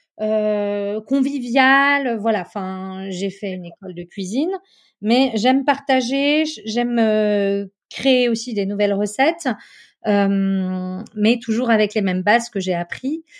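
Very slow speech from a woman, fairly high in pitch, with ordinary pitch variation and a very clean recording over a silent background. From French Alps, Chamonix. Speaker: chef and food consultant. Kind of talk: interview.

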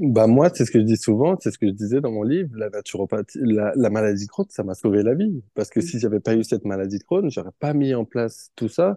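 Against a quiet background with a dry, close sound and no echo, a man speaks at a fairly quick pace with hardly any pauses, his dark, mellow tone at a medium pitch carried by lively intonation. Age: 20s. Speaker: professional footballer and naturopath. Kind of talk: casual interview.

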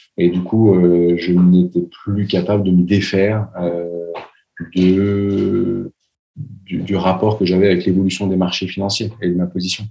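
A man's very deep, low voice at a fairly slow pace, monotone and flat, with long, frequent pauses and music in the background. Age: 30s. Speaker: entrepreneur, travel agency founder. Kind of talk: interview conversation. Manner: hesitant, many fillers and repetitions.

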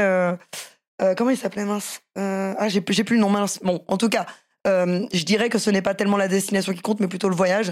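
Her pitch sits at a medium level for a woman, and her intonation is monotone and flat at a moderate pace. The recording is very clean, the background silent. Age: 30s. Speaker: professional MMA fighter and boxer. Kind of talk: casual interview.

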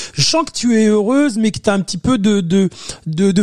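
At a moderate pace, a man talks in a high pitch. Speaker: podcast host. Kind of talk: interview. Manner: hesitant, repetitive fillers.

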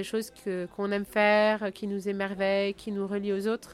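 Here a woman is talking with a medium pitch. She goes at a moderate speed. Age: 40s. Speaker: founder of an ocean exploration school. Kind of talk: interview. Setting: on location near Saint-Malo. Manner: halting, many fillers and repetitions.

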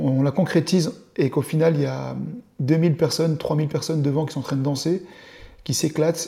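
Talking at a fairly quick pace, a man with a fairly high pitch and ordinary pitch variation has an ordinary speaking voice. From eastern France (Dole, Jura). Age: 40s. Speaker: show producer, entrepreneur. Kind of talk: interview, casual chat.

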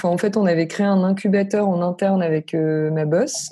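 This woman uses a normal speaking voice at medium pitch with fairly even intonation. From northern France (Lille). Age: 20s. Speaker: freelance no-code developer. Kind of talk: casual interview.

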